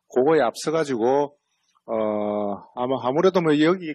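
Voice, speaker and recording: A man is speaking. He has a strong Busan accent. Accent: strong Busan (Gyeongsang) dialect. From Busan, South Korea. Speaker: central bank economist. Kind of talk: lecture. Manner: casual, conversational with fillers.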